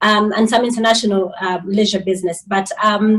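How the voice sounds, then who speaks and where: Speaking at a fairly quick pace, a woman has a somewhat breathy voice with a fairly high pitch. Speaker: hotel manager. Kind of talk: webinar interview.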